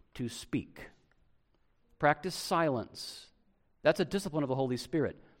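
This is a man with a normal speaking voice and a fairly high pitch. His intonation is lively. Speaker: pastor. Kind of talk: sermon. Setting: church.

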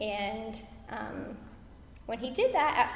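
A fairly high-pitched woman over noticeable background noise. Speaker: conference speaker, military wife and mother. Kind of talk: church panel discussion. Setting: church stage with audience.

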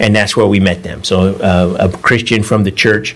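Over noticeable background noise, a man with an American accent and a fairly low pitch talks at a fairly quick pace. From Northern California. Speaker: missionary. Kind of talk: church talk to congregation. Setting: church Sunday school. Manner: conversational, with fillers and laughter.

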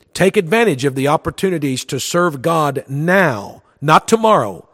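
A man with a high pitch speaks at a moderate pace, his intonation lively. The recording is very clean with a silent background, and the sound is dry and close with no echo. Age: 40s. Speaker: radio pastor. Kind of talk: radio sermon.

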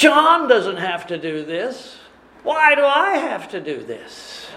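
In a whiny, put-on character voice, the speaker talks fairly slowly at a fairly high pitch, swinging very widely up and down. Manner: complaining, murmuring.

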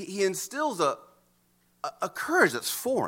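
In a very clean recording with a silent background, a man's bright, sharp voice moves through very wide pitch swings. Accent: American. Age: 40s. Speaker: pastor. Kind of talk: sermon. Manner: halting, frequent repetitions and fillers.

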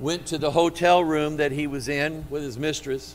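With music in the background, a man with a fairly high voice speaks in an animated tone at a fairly slow pace. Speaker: preacher. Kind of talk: sermon delivered live to a congregation, with call-and-response. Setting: church. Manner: animated, fervent, exhorting the congregation directly; conversational, with asides and a touch of humor.

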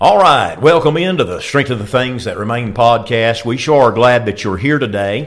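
At a moderate pace, a man uses lively intonation in a plain, everyday voice. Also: medium pitch for a man. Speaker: podcast host and pastor. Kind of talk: casual interview.

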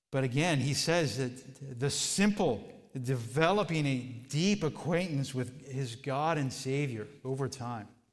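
There is audible room echo as a man with a fairly high voice speaks at a fairly slow pace. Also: ordinary pitch variation. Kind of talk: Bible study teaching.

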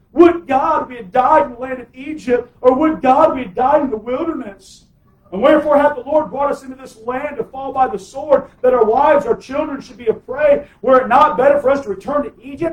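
Putting on a whiny character voice at an extremely high pitch, a man rattles along at a fairly quick pace with hardly any pauses. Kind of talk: archaic biblical phrasing. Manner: whiny, complaining.

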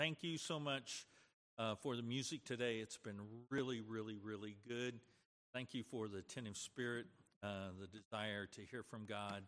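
A man speaks at a fairly slow pace with a medium pitch and ordinary pitch variation. He has an unremarkable speaking voice. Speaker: church pastor or announcer. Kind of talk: church announcements and prayer. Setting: church.

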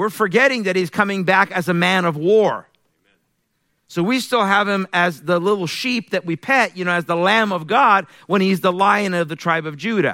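Raised and projected, a man's high-pitched voice has a bright, sharp, animated tone in a very clean recording with a silent background. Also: ordinary pitch variation, moderate pace. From Iran. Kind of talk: sermon. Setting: church.

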